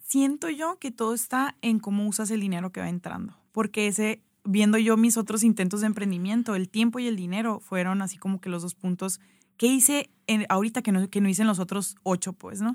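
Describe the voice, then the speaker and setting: A woman with an unremarkable speaking voice at a medium pitch, fairly quick pace and ordinary pitch variation, in a very clean recording with a silent background and a dry, close sound with no echo. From Mexico, Sonora (Hermosillo). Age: 30s. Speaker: pastry business founder. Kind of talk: casual interview. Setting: radio studio.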